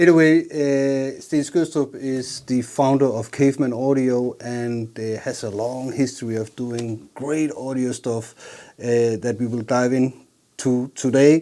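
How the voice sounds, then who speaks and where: With a Danish accent, a man talks at a fairly slow pace with hardly any pauses. His pitch is medium and his intonation fairly even. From Jutland, Denmark. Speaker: bass channel host, interviewer. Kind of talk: interview.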